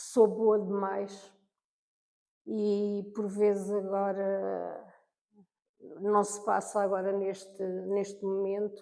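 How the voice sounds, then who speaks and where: Very slow and monotone, a dark, mellow voice swings widely in loudness and stops often for long pauses. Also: woman, medium pitch for a woman. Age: 60s. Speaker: senior university student. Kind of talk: interview. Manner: halting.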